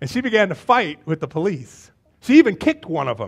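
Speaking at a fairly quick pace, a man has a high pitch with big swings, vocal fry and a slightly husky edge.

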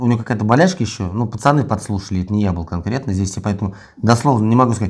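A man talks at a very fast pace with lively intonation and a fairly low pitch, sounding somewhat breathy. The background is quiet. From Russia. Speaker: prisoner of war; interviewee. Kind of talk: interview. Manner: halting. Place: empty room. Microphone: lapel.

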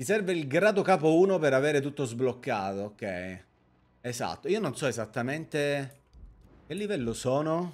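Leaving long, frequent pauses, a man talks at a moderate pace with a fairly high pitch and very wide pitch swings. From Sicily, Palermo; Sicily. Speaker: streamer. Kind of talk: live gameplay stream chat. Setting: live stream. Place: home room. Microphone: studio mic.

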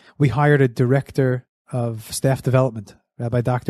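A man with a New York accent speaks in a dark, mellow tone, the sound dry and close with no echo over a quiet background. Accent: American English, New York area. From US Northeast (Monsey, NY; New Jersey). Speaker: summer camp executive director. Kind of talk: interview. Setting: studio.

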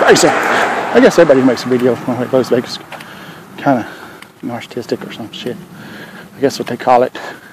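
Dry with no echo and only light background noise, the recording has a man with a Southern US accent talking at a fairly quick pace. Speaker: vlogger. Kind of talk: casual chat. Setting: outdoors. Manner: halting; soft-spoken. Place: street. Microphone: earbuds.

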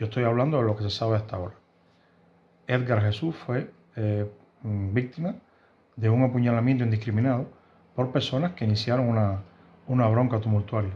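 A man's somewhat breathy, dark, mellow voice at medium pitch, fairly quick but with long, frequent pauses and ordinary pitch variation. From Cuba, Havana. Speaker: YouTuber commenting on Cuban news. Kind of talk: news commentary monologue. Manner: halting, with frequent fillers and repetitions. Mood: serious, concerned. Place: home room.

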